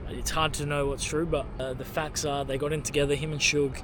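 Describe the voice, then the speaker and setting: A man speaks at a very fast pace. Room echo is audible, and background noise is noticeable. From Australia. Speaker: travel vlogger. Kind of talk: casual vlog narration.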